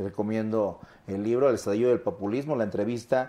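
Delivery is very fast, with ordinary pitch variation. The voice has a dark, mellow tone. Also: man. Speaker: political campaign spokesman. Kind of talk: political debate.

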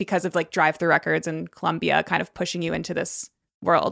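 Very fast speech from a woman with an American accent and vocal fry, dry and close with no echo, on a very clean recording against a silent background. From Connecticut, US. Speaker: podcast co-host. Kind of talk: interview conversation.

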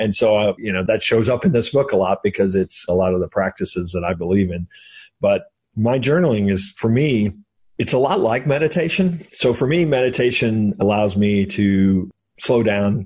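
A man speaks at a moderate pace and medium pitch, with lively intonation. His voice is somewhat breathy over a quiet background. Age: 50s. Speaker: author and entrepreneur. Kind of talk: interview.

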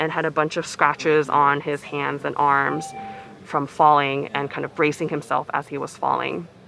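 A woman with an American accent speaks in a very deep, low pitch at a moderate pace. Her intonation is monotone and flat, with noticeable background noise. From US, Seattle. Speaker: emergency doctor. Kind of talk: interview testimony.

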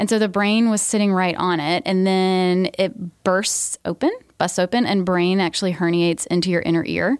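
Dry and close with no echo, a woman's unremarkable speaking voice comes through with an American accent, medium pitch, ordinary pitch variation, very even loudness and a moderate pace. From US South, Georgia. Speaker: nurse practitioner and podcast host. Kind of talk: casual interview chat. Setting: studio.

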